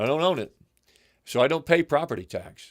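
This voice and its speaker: A man speaks with an American accent at a moderate pace, his voice showing vocal fry. The recording is very clean, with a silent background. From California. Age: 60s. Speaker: local news livestream host. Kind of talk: livestream commentary. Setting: livestream. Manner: halting.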